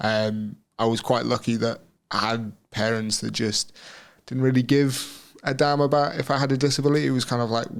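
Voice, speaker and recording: A man of medium pitch speaks with a West Midlands accent. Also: fairly even intonation, moderate pace. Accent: English West Midlands accent, noticeable. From England, Shropshire (West Midlands). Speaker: Paralympic wheelchair racer. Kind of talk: interview conversation. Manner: casual, with many fillers and repetitions.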